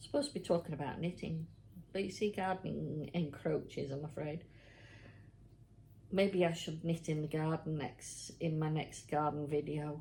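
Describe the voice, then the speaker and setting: A woman's very deep, low, somewhat breathy voice, dark and mellow in tone, at a moderate pace with fairly even intonation. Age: 60s. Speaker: knitting vlogger. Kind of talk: casual chat. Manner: chatty, hesitant.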